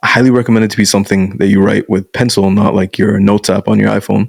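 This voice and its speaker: A man talks at a fairly quick pace in a normal speaking voice. His pitch is fairly low, with fairly even intonation. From Canada (born in Bangladesh, moved at five). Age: 20s. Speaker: masculinity coach. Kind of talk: casual interview chat.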